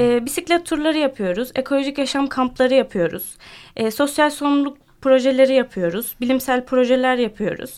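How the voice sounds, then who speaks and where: This woman's voice is high-pitched. She keeps a moderate pace. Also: ordinary pitch variation. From Turkey (born Ankara). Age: 20s. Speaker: French teacher and cycling club founder. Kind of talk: radio interview. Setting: radio studio. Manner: hesitant, many fillers.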